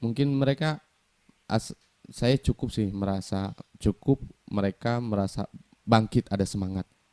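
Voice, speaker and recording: At a moderate pace with long, frequent pauses, a man speaks in a fairly low pitch with a dark, mellow tone and ordinary pitch variation, in dry, close sound with no echo. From Sukabumi, West Java, Indonesia. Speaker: singer-songwriter. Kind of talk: interview. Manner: halting.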